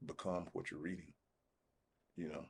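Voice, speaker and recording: Very deep and low, a man's voice moves at a fairly quick pace with monotone, flat intonation. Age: 60s. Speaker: podcast guest on relationships. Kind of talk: casual podcast conversation.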